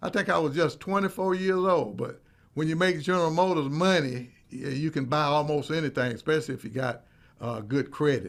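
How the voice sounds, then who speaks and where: On a very clean recording with a silent background, a man with a Mississippi accent speaks at a fairly quick pace in a fairly high pitch with lively intonation. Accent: Southern US, Mississippi. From US South, Meridian, Mississippi. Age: 70s. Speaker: counseling therapist, talk show host. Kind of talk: personal storytelling monologue. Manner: casual, folksy with fillers.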